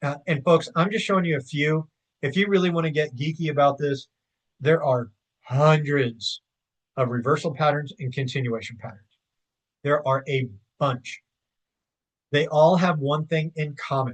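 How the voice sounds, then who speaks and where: The somewhat breathy voice moves at a moderate pace, broken by long, frequent pauses. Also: man, fairly high pitch for a man, ordinary pitch variation. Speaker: investing educator. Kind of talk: tutorial. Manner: casual with filler words.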